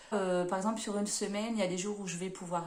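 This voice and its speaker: There is audible room echo as a woman talks. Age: 30s. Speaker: book vlogger and nursing assistant. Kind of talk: casual self-introduction vlog. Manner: hesitant, many fillers.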